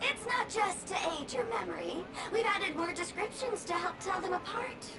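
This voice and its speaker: A put-on character voice at an extremely high pitch comes through loud background noise. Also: moderate pace. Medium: video game. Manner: dramatic.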